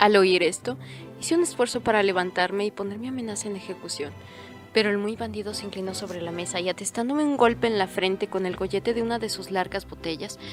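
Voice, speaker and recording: Over music in the background, a woman talks at a very fast pace and a medium pitch with lively intonation. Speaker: audiobook narrator. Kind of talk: audiobook narration.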